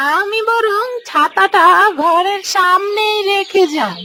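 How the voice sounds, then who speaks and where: A cartoonish character voice at a very slow pace, with fairly even intonation and clear background noise. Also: woman, extremely high pitch for a woman. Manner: muttering to herself.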